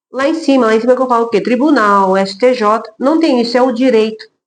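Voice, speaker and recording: A woman's fairly high voice at a moderate pace. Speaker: lawyer. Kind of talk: casual talk to camera about work experience. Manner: loud.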